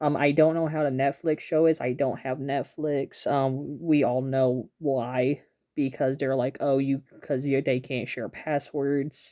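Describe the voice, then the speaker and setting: The voice is quiet and moves at a fairly slow pace. Hardly any pauses break it up. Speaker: toy reviewer. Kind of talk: product review. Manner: quiet, hushed; hesitant, many fillers.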